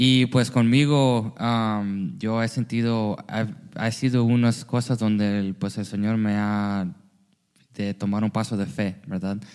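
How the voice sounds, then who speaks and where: Here a man speaks at a very slow pace. His pitch is medium, with ordinary variation. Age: 30s. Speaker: church youth leader. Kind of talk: casual chat.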